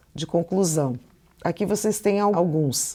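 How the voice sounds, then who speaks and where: Fairly low-pitched woman in a Curitiba accent, with lively intonation. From Curitiba, Brazil. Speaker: Portuguese teacher. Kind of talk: lecture. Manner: casual, conversational.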